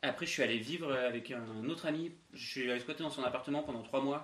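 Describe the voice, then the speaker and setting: The man talks at a fairly quick pace. His pitch is medium and his intonation fairly even. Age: 20s. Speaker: podcast co-host, flatmate. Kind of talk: casual chat. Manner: halting.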